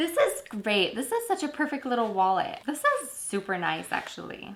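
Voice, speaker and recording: At a moderate pace, a woman talks in an animated tone over noticeable background noise. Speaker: beauty and lifestyle YouTuber. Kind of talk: product unboxing.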